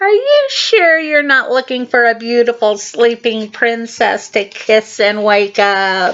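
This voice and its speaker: A put-on character voice, female-sounding and fairly high-pitched, delivered at a fairly slow pace with hardly any pauses. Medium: read story.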